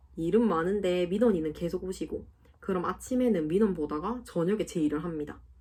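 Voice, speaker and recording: Speaking at a fairly quick pace, a woman uses lively intonation in a medium pitch with a dark, mellow tone. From South Gyeongsang, Korea. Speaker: civil servant. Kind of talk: casual Q&A talk to camera.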